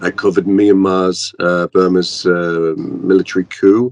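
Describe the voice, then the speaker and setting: A man's very deep, low voice, delivered at a fairly slow pace in a monotone, flat intonation. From northern England. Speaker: journalist. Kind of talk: interview. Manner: hesitant, many fillers.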